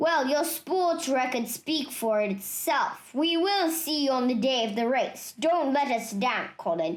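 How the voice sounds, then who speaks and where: A put-on character voice with very wide pitch swings at a fairly slow pace. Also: woman, high pitch for a woman. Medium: read story. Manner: pompous, booming.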